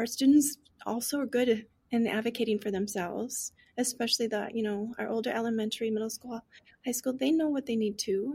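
Fairly quick in pace, a woman with a plain, everyday voice speaks at a fairly high pitch with fairly even intonation. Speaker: teacher of deaf and hard of hearing students. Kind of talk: casual interview chat. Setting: video call.

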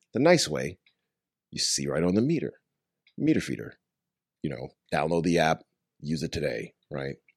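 A man's very deep, low voice with an American accent, vocal fry, ordinary pitch variation, a moderate pace and long, frequent pauses. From Long Island, New York. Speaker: startup founder. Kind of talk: casual interview chat.

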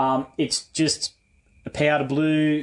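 Using an Australian accent, a man speaks at a fairly high pitch with monotone, flat intonation. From Western Sydney, Australia. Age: 40s. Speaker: car enthusiast. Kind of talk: casual chat.

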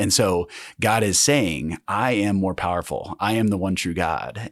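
A man with an American accent speaks at a fairly slow pace in a plain, everyday voice. His pitch sits fairly low, with ordinary pitch variation. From Kansas. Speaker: diocese director of discipleship. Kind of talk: casual interview chat. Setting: in-person studio recording.

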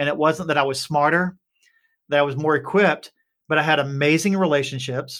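In an Appalachian accent, a man talks at a fairly quick pace and a fairly high pitch with fairly even intonation. His loudness stays very even, and the recording is very clean with a silent background. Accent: Appalachian Southern US. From Appalachian Kentucky. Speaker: startup CEO. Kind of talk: interview conversation.

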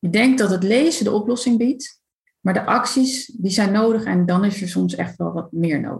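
A woman talks at a moderate pace in a medium pitch with ordinary pitch variation. Her voice has vocal fry. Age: 30s. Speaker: coach for highly sensitive people. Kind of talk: casual interview.

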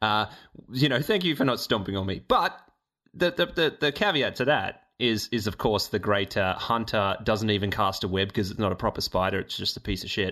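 Bright, sharp tone from a man with an Australian accent, fairly low in pitch, with lively intonation at a moderate pace on a very clean recording with a silent background. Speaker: podcast host. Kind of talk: casual chat.

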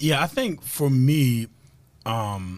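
A man talks with lively intonation. He has a New Jersey accent. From New Jersey, Camden. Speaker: former pro football player and author. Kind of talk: interview. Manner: many filler words.

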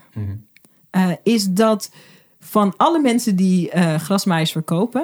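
The intonation is lively, and vocal fry comes through. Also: woman. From Groningen, Netherlands. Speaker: video and visibility coach, documentary maker. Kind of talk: casual chat. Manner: animated, enthusiastic.

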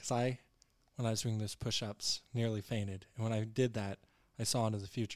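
This man speaks at a fairly low pitch and a moderate pace. His intonation is monotone and flat. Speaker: sports podcast co-host. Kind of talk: casual sports chat. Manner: joking.

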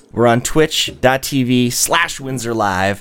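Over music in the background, a man at medium pitch speaks at a very slow pace. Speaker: local official and live stream host. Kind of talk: casual live-streamed talk show. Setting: live stream.

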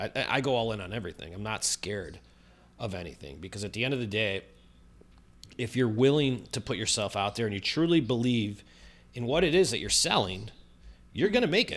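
With an American accent and lively intonation, a man of medium pitch talks fairly quickly with long, frequent pauses in a very clean recording with a silent background. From Chicago, US Midwest. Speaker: real estate video marketer. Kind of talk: interview.

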